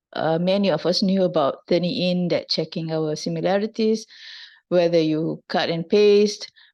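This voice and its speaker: A woman speaks in a fairly low voice at a moderate pace, her intonation fairly even. The background is quiet. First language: not English. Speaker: university lecturer. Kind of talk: lecture. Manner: halting.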